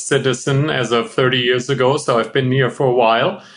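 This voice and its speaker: Fairly even intonation marks a man's speech, with noticeable background noise behind him. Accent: German. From Germany. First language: German. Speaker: physician, endoscopy expert. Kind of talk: interview podcast.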